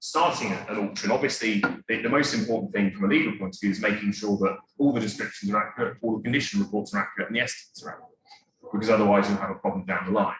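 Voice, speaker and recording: A man rattles along at a very fast pace with hardly any pauses. His fairly low voice shows ordinary pitch variation. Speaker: auctioneer, coin specialist giving a talk. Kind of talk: talk to an audience about auctioneering.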